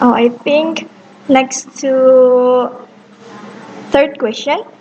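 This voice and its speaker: Over noticeable background noise, a woman talks at a very slow pace in a high pitch with fairly even intonation. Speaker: student interviewer. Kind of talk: class assignment interview. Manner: halting.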